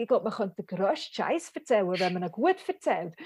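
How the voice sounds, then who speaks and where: A woman speaks at a very fast pace in a dry, close sound with no echo. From Switzerland, Bern (Bümpliz). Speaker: satirist and spoken-word author. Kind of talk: casual interview. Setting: remote call.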